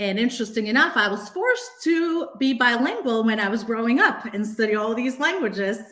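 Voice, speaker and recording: Her pitch fairly high, a woman speaks at a moderate pace with lively intonation. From Bulgaria. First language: Bulgarian. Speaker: real estate agent. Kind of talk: casual chat.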